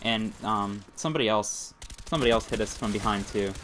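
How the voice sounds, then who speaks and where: An American accent over noticeable background noise. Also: man. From Pennsylvania. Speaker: gaming commentator. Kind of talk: gameplay commentary. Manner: fast.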